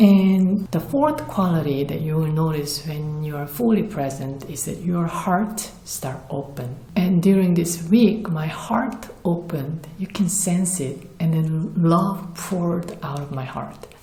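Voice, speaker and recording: A woman speaks at a fairly slow pace with a Korean accent, her pitch fairly low and its variation ordinary. Room echo is audible, and there is noticeable background noise. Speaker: spiritual vlogger. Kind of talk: personal testimony.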